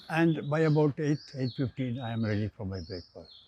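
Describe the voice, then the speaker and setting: Speaking with an Indian accent, a man has a medium pitch, a dark, mellow tone that is somewhat breathy, lively intonation and a moderate pace. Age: 80s+. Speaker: engineer. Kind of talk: interview answer.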